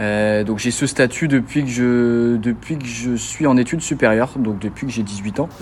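Over noticeable background noise, a man at medium pitch talks at a fairly slow pace with fairly even intonation and hardly any pauses. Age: 20s. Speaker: student athlete, tennis player. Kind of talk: interview. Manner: halting, many repetitions and fillers.

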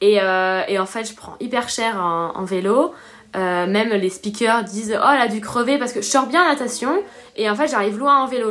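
Using an ordinary speaking voice, a woman talks at a fairly quick pace with a fairly high pitch, ordinary pitch variation and big swings in loudness. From Réunion. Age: 20s. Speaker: professional triathlete. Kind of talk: casual interview.

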